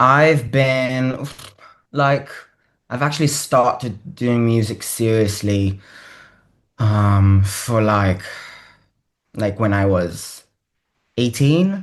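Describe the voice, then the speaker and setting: At a very slow pace with long, frequent pauses, the voice keeps very even loudness and ordinary pitch variation. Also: man, medium pitch for a man. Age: 20s. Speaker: singer-songwriter. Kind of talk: interview. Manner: hesitant, many fillers.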